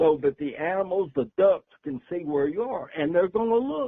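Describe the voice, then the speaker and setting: A man's high-pitched voice at a fairly slow pace, with very wide pitch swings. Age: 80s+. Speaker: decoy company founder. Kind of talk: podcast interview.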